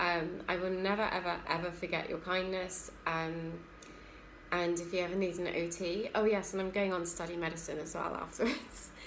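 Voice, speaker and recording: In a southern English accent, a woman speaks with fairly even intonation amid audible room echo. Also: fairly low pitch for a woman, moderate pace. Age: 30s. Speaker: occupational therapy student. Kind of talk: personal testimony. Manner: hesitant, many fillers.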